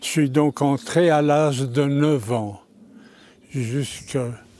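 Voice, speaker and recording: Very slowly, a man speaks in a fairly high voice, his pitch varying in an ordinary way. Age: 90s. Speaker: former scout, interviewee. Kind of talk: interview, recollections. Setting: abbey, with audience. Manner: halting.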